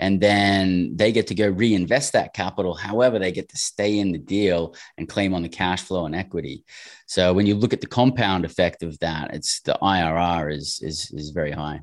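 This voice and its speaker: A man with an Australian accent and a very deep, low pitch, speaking at a moderate pace with ordinary pitch variation. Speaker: real estate investor. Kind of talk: interview.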